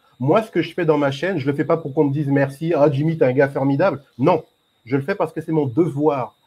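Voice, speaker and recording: A man's voice at a fairly high pitch. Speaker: YouTube channel creator, debate participant; guest, channel host. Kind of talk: online group debate. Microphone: microphone problem; video call.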